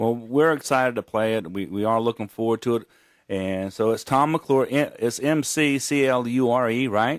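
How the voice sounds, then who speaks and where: On a very clean recording with a silent background, a man with a slight Gulf Coast accent speaks at a medium pitch and a moderate pace with ordinary pitch variation. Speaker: radio host. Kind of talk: radio interview.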